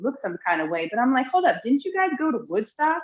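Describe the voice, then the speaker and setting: Speaking in an animated tone, a woman talks with an American accent. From Trenton, New Jersey. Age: 40s. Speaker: podcast guest. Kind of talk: casual chat.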